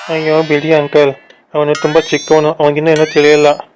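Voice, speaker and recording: In a put-on character voice, a soft-spoken man talks at a moderate pace and a fairly high pitch, sing-song yet monotone and flat. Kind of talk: comic cartoon voice acting. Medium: cartoon. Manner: soft, polite, sing-song.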